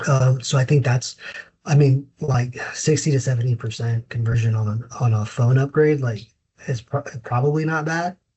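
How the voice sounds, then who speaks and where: A man speaks in a somewhat breathy voice at a moderate pace, his intonation fairly even. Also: medium pitch for a man. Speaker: inspection company manager. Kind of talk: casual interview.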